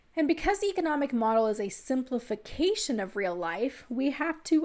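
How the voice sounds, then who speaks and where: A woman's high voice with very wide pitch swings at a moderate pace, in a very clean recording with a silent background. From Texas. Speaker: economics instructor. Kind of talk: lecture.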